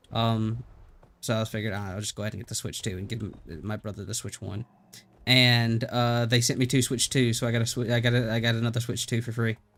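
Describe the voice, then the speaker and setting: On a very clean recording with a silent background, a man with a Southern US accent speaks very fast at a medium pitch with monotone, flat intonation. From US South. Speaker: gaming streamer. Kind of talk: live stream commentary. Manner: casual, halting with fillers. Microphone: good mic.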